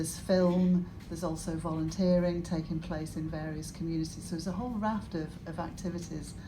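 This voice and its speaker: Amid audible room echo, a woman with a fairly low pitch talks at a fairly quick pace. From northern England, Cumbria. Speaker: senior university staff member, engineer. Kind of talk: welcome speech at event launch. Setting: live event with audience. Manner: halting, with repetitions.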